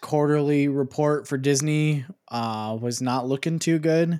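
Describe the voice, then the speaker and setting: The recording is very clean, with a silent background. A man with an unremarkable speaking voice talks slowly at a fairly high pitch, with ordinary pitch variation. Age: 20s. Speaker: podcast co-host. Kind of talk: casual chat.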